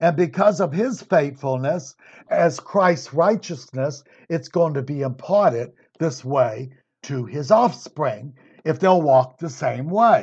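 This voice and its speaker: A somewhat breathy man at a very slow pace, with lively intonation. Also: fairly high pitch for a man. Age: 60s. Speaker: Bible teacher. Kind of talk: Bible study lecture. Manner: conversational.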